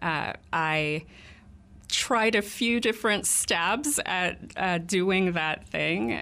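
Very slowly and at very even loudness, a woman with an American accent speaks in a bright, sharp tone at fairly low pitch with ordinary pitch variation, on a very clean recording with a silent background. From Texas, Fort Worth. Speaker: executive director of a political organization. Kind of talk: radio interview. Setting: radio studio.

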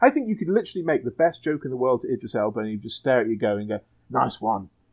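A man with an English accent talks at a very fast pace. His pitch swings very widely. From England. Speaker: guest, comics creator. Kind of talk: casual chat.

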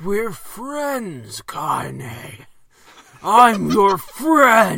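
A put-on character voice, middle in pitch, guttural and gravelly.

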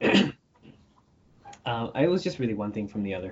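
The man has a fairly low pitch. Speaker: podcast guest, freelance animator. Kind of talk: casual, conversational, frequent "like". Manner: fast talker.

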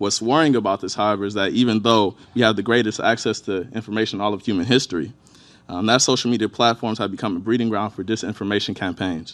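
Very fast American-accented male speech, fairly low in pitch and fairly even in intonation, against a quiet background. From Inkster, Michigan, near Detroit. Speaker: state legislator. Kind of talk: conference talk.

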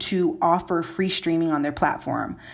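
At a moderate pace, a woman speaks in an unremarkable speaking voice at a medium pitch with ordinary pitch variation. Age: 20s. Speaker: tech journalist. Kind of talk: podcast interview.

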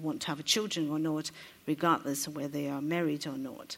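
A woman's very deep, low voice in a Chinese accent. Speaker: interpreter. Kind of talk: consecutive interpreting. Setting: stage with audience.

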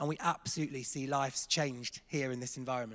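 An English accent at a very fast pace. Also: man. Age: 30s. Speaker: church staff member. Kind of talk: testimony. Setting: church stage with congregation.

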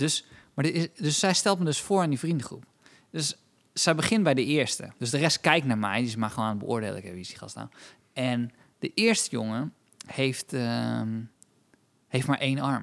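A man talks at a moderate pace, his pitch swinging very widely, with long, frequent pauses. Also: medium pitch for a man. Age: 30s. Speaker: comedian and podcast co-host. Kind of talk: casual chat.

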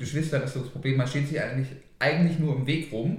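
Audible room echo around a man's fairly even intonation. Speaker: podcast co-host. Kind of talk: casual chat.

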